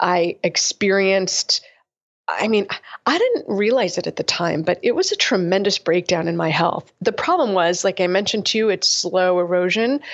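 Speaking in a normal speaking voice, a woman keeps a medium pitch, a moderate pace, very even loudness, and ordinary pitch variation. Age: 40s. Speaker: functional medicine doctor. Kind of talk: casual interview.

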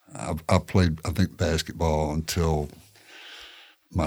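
The voice has a Tennessee accent, a moderate pace, and fairly even intonation. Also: man. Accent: Tennessee Southern. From Tennessee, Shelbyville. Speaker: photojournalist. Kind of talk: casual interview chat.

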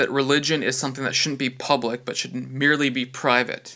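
On a very clean recording with a silent background, a man with a Canadian accent speaks in a bright, sharp tone. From Western Canada. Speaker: ministry executive director. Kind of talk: interview.

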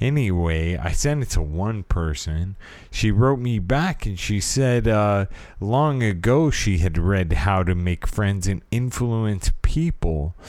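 Speaking very slowly with lively intonation, a man with an American accent has a fairly low pitch. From California. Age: 30s. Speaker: podcast host. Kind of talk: personal podcast monologue. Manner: halting.

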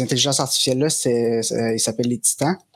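Ordinary variation colors the medium pitch of this man's voice. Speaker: game master. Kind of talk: tabletop role-playing game narration.

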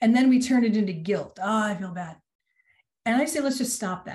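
At a fairly quick pace, a woman speaks in a somewhat breathy, medium-pitched voice with ordinary pitch variation. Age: 60s. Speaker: executive coach. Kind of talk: casual chat.

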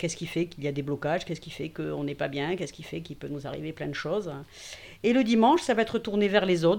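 Against a quiet background, a woman speaks at a fairly low pitch with ordinary pitch variation. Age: 50s. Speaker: digital communication consultant and workshop organizer. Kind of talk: casual interview. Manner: hesitant, many fillers.

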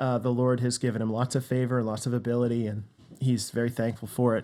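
A man speaks at a fairly quick pace in a medium pitch, his dark, mellow tone held to a monotone, flat intonation. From Western Canada. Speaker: pastor. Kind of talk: interview. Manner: casual.

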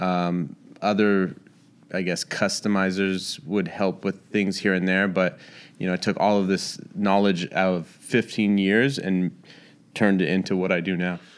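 At a fairly slow pace, a man speaks in a very deep, low pitch with monotone, flat intonation. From Northern California (Bay Area, Santa Rosa). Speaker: sneaker customizer and shoe designer. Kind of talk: casual interview chat.

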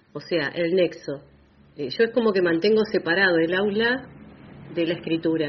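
The speech moves at a moderate pace, broken by long, frequent pauses, with ordinary pitch variation. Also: woman, fairly low pitch for a woman. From Argentina, Bahía Blanca. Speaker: writer and teacher. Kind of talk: radio interview.

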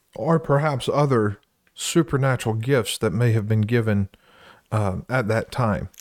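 In a very clean recording with a silent background and a dry, close sound with no echo, a man speaks at a fairly slow pace in a medium-pitched voice with ordinary pitch variation and very even loudness. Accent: Southern US. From US South, Louisiana. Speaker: co-host, church preacher. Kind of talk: casual Bible discussion.

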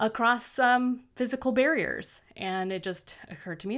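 Recorded very cleanly against a silent background, a woman with a plain, everyday voice talks at a moderate pace with ordinary pitch variation. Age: 40s. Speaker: fiction author and podcast host. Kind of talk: casual monologue.

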